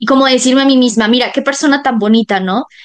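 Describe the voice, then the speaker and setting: Speaking with a Mexican accent, a woman keeps a fairly quick pace and fairly high pitch with ordinary pitch variation. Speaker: podcast host. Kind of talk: interview.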